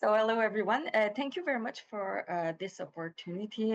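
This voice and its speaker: With a slight Quebec accent, a woman at medium pitch talks at a moderate pace with lively intonation in a dry, close sound that has no echo. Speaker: research chairholder. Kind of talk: webinar presentation. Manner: frequent fillers.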